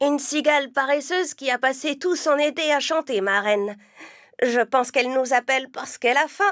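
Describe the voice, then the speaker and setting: Someone uses a cartoonish character voice at a fairly quick pace on a very clean recording with a silent background. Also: female-sounding voice, high pitch for a woman. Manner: earnest, sensible.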